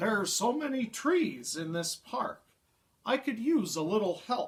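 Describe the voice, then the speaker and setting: Putting on a character voice, a man speaks high and with a gentle tone, using very wide pitch swings at a moderate pace. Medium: read story. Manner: gentle, friendly.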